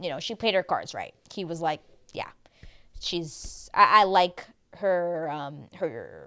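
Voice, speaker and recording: A woman speaks at a moderate pace and medium pitch. Her tone is animated and her intonation lively. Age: 30s. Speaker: TV recap youtuber. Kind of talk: casual monologue recap.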